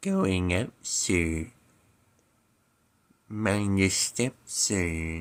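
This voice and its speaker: This man uses a cartoonish character voice with a very deep, low pitch and a deadpan tone. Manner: slow, deadpan, droopy monotone.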